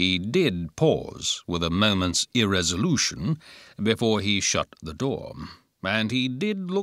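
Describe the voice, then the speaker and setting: A man speaks in an ordinary speaking voice at a fairly slow pace, his fairly low pitch carrying lively intonation over a very clean recording with a silent background. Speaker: professional audiobook narrator. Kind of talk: audiobook narration of a classic novel.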